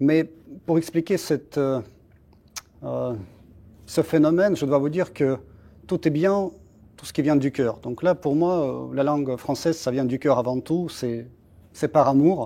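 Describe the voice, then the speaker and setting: A man with a Russian accent speaks at a fairly slow pace, his fairly high pitch moving with ordinary variation. His tone is dark and mellow, on a very clean recording with a silent background. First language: Russian (speaking French). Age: 40s. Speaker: embassy spokesperson. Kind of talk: interview. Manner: halting, many hesitations.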